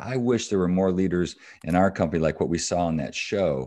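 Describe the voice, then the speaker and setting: A man with a Midwestern American accent, a dark, mellow tone and a moderate pace, against a quiet background. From Michigan, US Midwest. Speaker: business executive and author. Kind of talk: interview.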